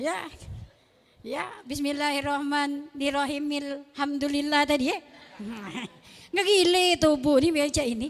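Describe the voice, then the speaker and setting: An animated, high-pitched woman's voice in a Palembang accent, with ordinary pitch variation, long and frequent pauses, and noticeable background noise. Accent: Palembang Malay-accented Indonesian. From Palembang, South Sumatra, Indonesia. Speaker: Islamic preacher. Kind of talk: sermon.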